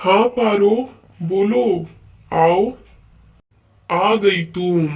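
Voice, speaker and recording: Someone does a put-on character voice at a middle pitch. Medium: machinima. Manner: warm, persuasive.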